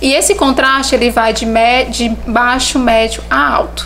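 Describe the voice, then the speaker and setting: Noticeable background noise and audible room echo surround a woman speaking at a fairly slow pace. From Brazil, Teresina (Piauí). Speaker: visagism specialist. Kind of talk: podcast interview, explanatory.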